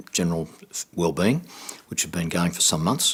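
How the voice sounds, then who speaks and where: A man with an Australian accent speaks at a very deep, low pitch. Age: 60s. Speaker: cancer survivor. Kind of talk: testimony.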